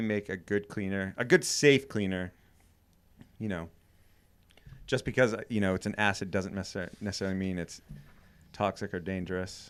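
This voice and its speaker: At a moderate pace, a man talks with a slight Maine accent. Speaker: podcast co-host, cabin builder. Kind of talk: casual chat. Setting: studio.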